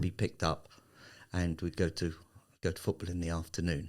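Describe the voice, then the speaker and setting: In a very clean recording with a silent background, a man talks with a Cockney accent. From England, East London (Barking, Ilford). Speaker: aliyah consultant. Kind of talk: casual interview chat.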